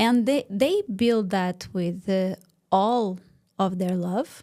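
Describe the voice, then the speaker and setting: A woman's medium-pitched voice at a very slow pace. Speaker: business mentor. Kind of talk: interview.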